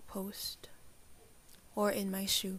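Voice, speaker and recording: A woman with a medium-pitched, somewhat breathy voice speaks at a very slow pace. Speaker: student. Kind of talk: poetry reading.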